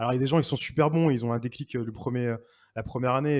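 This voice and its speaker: In a very clean recording with a silent background, a man talks at a very fast pace at a medium pitch with ordinary pitch variation. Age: 30s. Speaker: 3D artist and art director. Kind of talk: casual chat. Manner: halting.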